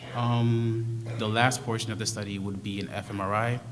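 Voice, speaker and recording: A soft-spoken man talks at a fairly low pitch in a flat monotone. The room echo is audible. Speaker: research study presenter. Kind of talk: presentation to school board.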